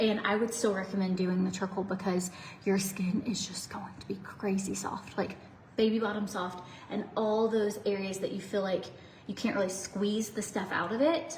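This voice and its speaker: Over noticeable background noise and audible room echo, a woman speaks at a medium pitch and moderate pace with fairly even intonation. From US South. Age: 30s. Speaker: beauty livestreamer. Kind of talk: casual chat. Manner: chatty.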